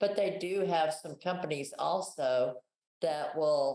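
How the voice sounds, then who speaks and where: In a very deep, low pitch, a woman with an American accent speaks at a fairly slow pace with a dark, mellow tone and ordinary pitch variation. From Texas, USA. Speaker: travel agent. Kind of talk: interview answer.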